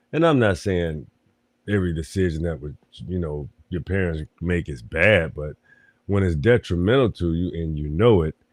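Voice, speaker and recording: A man with a very deep, low voice speaks against a quiet background, the sound dry and close with no echo. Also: ordinary pitch variation, moderate pace. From US South (Florida). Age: 40s. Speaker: podcast host. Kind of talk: casual monologue. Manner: halting, many restarts and fillers.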